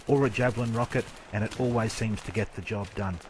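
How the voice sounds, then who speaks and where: A man with an Australian accent, ordinary pitch variation, and noticeable background noise. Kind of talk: video game weapon commentary. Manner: well-spoken, teacher-like.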